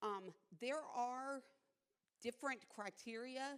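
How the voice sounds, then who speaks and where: With ordinary pitch variation, a woman speaks in an unremarkable speaking voice. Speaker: veteran support officer. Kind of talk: informational presentation.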